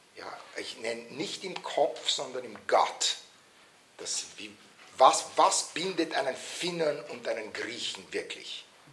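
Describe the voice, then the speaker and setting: Over noticeable background noise and audible room echo, a man talks at a very slow pace with big swings in loudness. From Vienna, Austria. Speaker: political scientist and author. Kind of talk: lecture. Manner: halting, many fillers.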